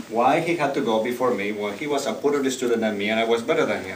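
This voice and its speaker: With a Spanish accent, a man speaks at a fairly quick pace and ordinary pitch variation, over noticeable background noise and audible room echo. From Spain, Barcelona. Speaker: public speaking club member. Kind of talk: prepared speech.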